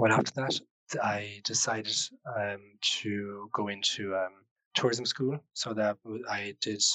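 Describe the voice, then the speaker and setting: A man with a French accent speaks in a fairly low pitch with a bright, sharp tone and monotone, flat intonation, the sound dry and close with no echo. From Switzerland. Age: 20s. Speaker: podcast guest sharing life story. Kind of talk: personal testimony. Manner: hesitant.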